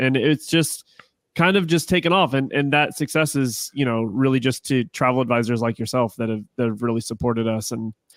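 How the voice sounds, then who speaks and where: An ordinary speaking voice from a man with an American accent, medium pitch and ordinary pitch variation moves at a fairly quick pace, on a very clean recording with a silent background and a dry, close sound with no echo. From Ohio. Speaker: resort sales manager, podcaster. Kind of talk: casual chat.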